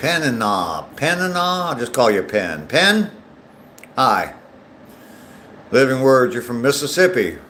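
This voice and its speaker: In an American accent, a man talks at a fairly slow pace with long, frequent pauses and very wide pitch swings. His tone is bright and sharp, with audible room echo. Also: medium pitch for a man. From US, not the South; grew up where he lives now. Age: 60s. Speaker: live streamer, vlogger. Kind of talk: casual chat reading live comments while walking. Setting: outdoors on a walking trail, live stream. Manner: hesitant, many fillers.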